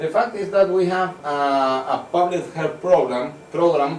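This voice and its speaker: Over noticeable background noise and audible room echo, a man with a fairly high pitch talks at a fairly slow pace with ordinary pitch variation. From Venezuela. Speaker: medical researcher. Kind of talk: conference talk. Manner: halting.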